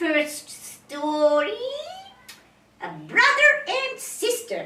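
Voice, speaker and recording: A woman's put-on character voice, extremely high-pitched with very wide pitch swings, at a very slow pace, with slight echo. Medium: stage play. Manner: simple broken English, direct.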